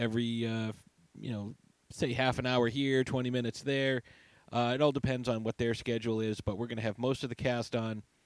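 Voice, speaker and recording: The man has an unremarkable speaking voice, pitched in the medium range and delivered at a moderate pace. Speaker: podcast host. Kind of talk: casual interview chat.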